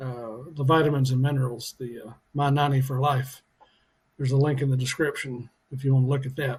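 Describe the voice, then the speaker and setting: A somewhat breathy man at a medium pitch, monotone and flat, at a fairly quick pace. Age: 60s. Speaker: fitness and weight loss vlogger. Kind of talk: casual video diary. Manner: halting with many fillers.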